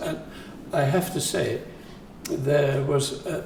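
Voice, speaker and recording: With noticeable background noise and audible room echo, a man speaks at a fairly slow pace. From northern England, Sheffield. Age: 80s+. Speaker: composer. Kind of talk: interview. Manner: halting.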